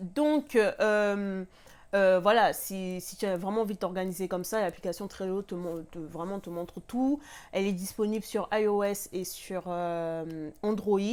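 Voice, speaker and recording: A woman talks at a fairly slow pace with ordinary pitch variation and big swings in loudness. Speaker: lifestyle vlogger. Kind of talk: casual tutorial vlog. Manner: hesitant, many fillers. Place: home room.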